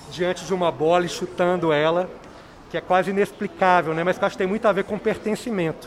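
With noticeable background noise behind him, a man talks at a fairly quick pace in a high pitch with ordinary variation. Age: 40s. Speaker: documentary film director. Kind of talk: radio interview.

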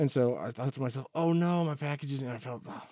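A man talks at a very fast clip with ordinary pitch variation, his dark, mellow tone sounding dry and close with no echo. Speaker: teacher guest. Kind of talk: casual conversation.

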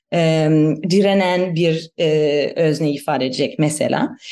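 Speaking with a German accent, a woman is heard. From Germany. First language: German (speaking Turkish). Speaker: anthropologist. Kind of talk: interview. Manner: halting.

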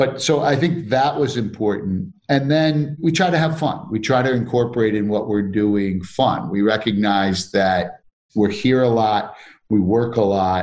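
With an unremarkable speaking voice, a man talks at a fairly slow pace and medium pitch, his intonation lively and his loudness very even. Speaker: company CEO. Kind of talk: casual interview.

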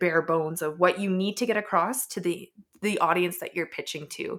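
A plain, everyday voice, a woman with a Canadian accent speaks at a fairly low pitch with fairly even intonation in a very clean recording with a silent background. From Edmonton, Canada. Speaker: startup founder. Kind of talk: casual interview.

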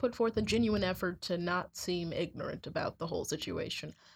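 A somewhat breathy woman in a very clean recording with a silent background. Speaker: college student. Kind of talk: casual chat.

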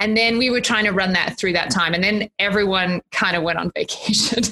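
With an Australian accent, a woman talks at a very fast pace in a bright, sharp tone. Her intonation stays fairly even, and the sound is dry and close with no echo. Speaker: college dean. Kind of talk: casual chat.

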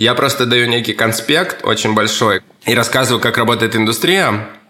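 A man's voice amid noticeable background noise. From Russian Far East (Kamchatka). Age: 30s. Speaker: stylist and fashion teacher. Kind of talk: interview answering kids' questions.

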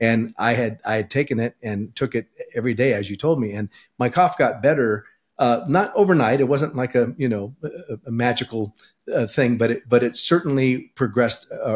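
Here is a man with an unremarkable speaking voice at medium pitch. He talks at a fairly quick pace with ordinary pitch variation. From California. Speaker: podcast host. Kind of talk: interview.

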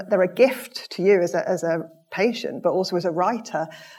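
A woman talks in an ordinary speaking voice. Her pitch is medium, with ordinary pitch variation. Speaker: event moderator. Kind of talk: audience Q&A moderation. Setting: stage with audience.

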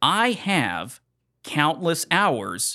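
A man's bright, sharp, animated voice with vocal fry and very wide pitch swings, on a very clean recording with a silent background. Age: 30s. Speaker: podcast host. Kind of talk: casual chat. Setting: studio.

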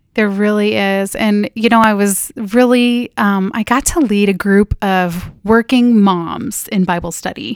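This woman has a plain, everyday voice at a medium pitch, with a General American accent. She speaks at a fairly slow pace. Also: dry, close sound with no echo. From Northern California. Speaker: pastor's wife and operations manager. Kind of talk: casual chat. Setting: studio.

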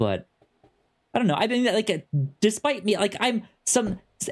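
The intonation is lively. The pace is moderate. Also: man, high pitch for a man.

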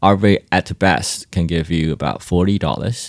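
There is vocal fry in this man's voice. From Taiwan. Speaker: crypto startup founder. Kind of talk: interview. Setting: in-person at a conference venue.

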